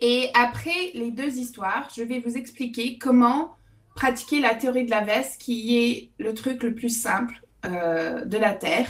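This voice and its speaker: Over noticeable background noise, a woman with an English-Canadian accent speaks very slowly in a high pitch with ordinary pitch variation. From Alberta, Canada. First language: English (speaking French). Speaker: author and public speaking coach. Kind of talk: webinar talk. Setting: video call. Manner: hesitant, many fillers.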